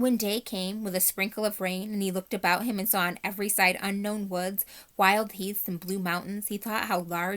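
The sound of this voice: The clip features an unforced reading voice. The intonation stays fairly even.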